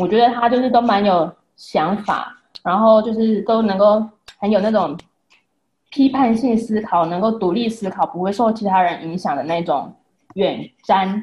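Woman at medium pitch, somewhat breathy, moderate pace with ordinary pitch variation and long, frequent pauses. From Taiwan. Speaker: wife and mother. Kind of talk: casual chat.

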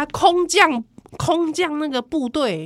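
This woman speaks with a Taiwanese accent. Her tone is animated. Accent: Taiwanese Mandarin. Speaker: podcast host. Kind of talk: casual chat.

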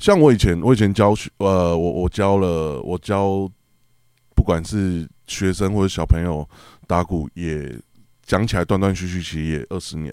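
In a very clean recording with a silent background and a dry, close sound with no echo, a man with a very deep, low pitch and a dark, mellow tone speaks at a fairly slow pace with ordinary pitch variation. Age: 30s. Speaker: drummer and drum teacher. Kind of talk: casual chat.

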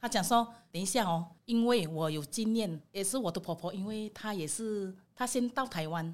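A woman's unremarkable speaking voice at medium pitch and moderate pace, with big swings in loudness, on a very clean recording with a silent background. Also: ordinary pitch variation, hardly any pauses. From Indonesia. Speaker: immigrant woman sharing her story. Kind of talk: casual chat.

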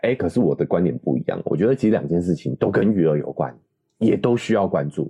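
A man's very deep, low voice with a dark, mellow tone and vocal fry, delivered at a very fast pace with very wide pitch swings and very even loudness. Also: dry, close sound with no echo. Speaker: parenting podcast co-host. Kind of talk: casual chat.

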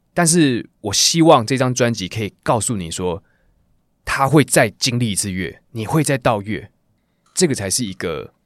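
A man's voice moves in very wide pitch swings. The recording is very clean, with a silent background. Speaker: singer. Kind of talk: interview, casual chat. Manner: animated, casual.

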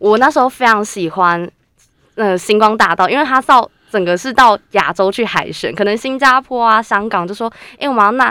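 At a moderate pace, a woman speaks with a fairly high pitch, a bright, sharp tone and ordinary pitch variation, the sound dry and close with no echo on a very clean recording with a silent background. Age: 20s. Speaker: university student and radio intern. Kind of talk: casual chat.

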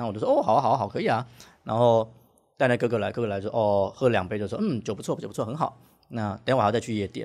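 A man speaks very fast with fairly even intonation. The recording is very clean, with a silent background. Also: medium pitch for a man. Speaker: bartender, former Chinese teacher. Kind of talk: casual interview chat.

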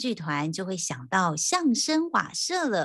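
Upbeat and cheerful, a woman at medium pitch talks at a fairly slow pace with very wide pitch swings. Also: quiet background. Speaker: podcast host. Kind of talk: casual interview. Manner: upbeat, cheerful.

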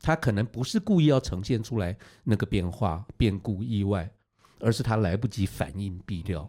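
A man talks at a moderate pace in a fairly low pitch, his tone dark and mellow and his intonation lively. The recording is very clean, with a silent background. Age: old. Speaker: veteran TV director. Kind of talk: casual chat.

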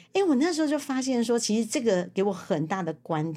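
Fairly quick and dark, mellow in tone, a woman's voice moves through very wide pitch swings. The recording is very clean, with a silent background. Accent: Taiwanese. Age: 50s. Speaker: secretarial association head and author. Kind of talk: interview.

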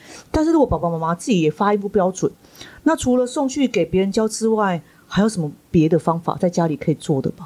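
A woman talks at a very fast pace, her pitch swinging very widely in a dark, mellow tone. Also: medium pitch for a woman. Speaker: school principal and podcast host. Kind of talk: interview hosting.

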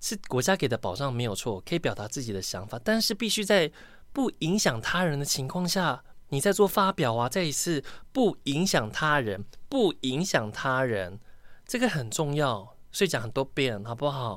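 A fairly high-pitched man at a moderate pace, with very wide pitch swings, in a very clean recording over a silent background. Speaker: podcast host. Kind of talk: casual solo podcast monologue. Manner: animated.

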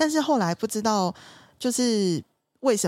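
A woman's normal speaking voice, fairly quick, with lively intonation. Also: very clean recording, silent background. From southern Taiwan. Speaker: lawyer. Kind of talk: casual chat.

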